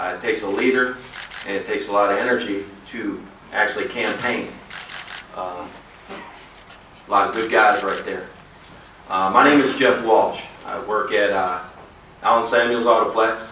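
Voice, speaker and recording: In a Texan accent, a man at medium pitch speaks at a moderate pace with fairly even intonation and long, frequent pauses, amid noticeable background noise and audible room echo. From Texas. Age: 50s. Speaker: political candidate. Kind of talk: campaign speech. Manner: halting.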